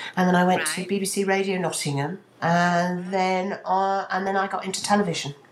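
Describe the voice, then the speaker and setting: At a moderate pace, a woman delivers her words in an unremarkable speaking voice. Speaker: radio presenter. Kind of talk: casual chat. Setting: video call.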